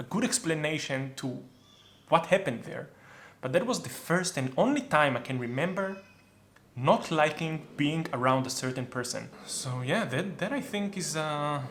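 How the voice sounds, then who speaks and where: A man speaks with an Israeli accent at a fairly high pitch. His intonation is lively. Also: moderate pace. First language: Hebrew. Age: 30s. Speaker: YouTuber. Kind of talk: casual chat.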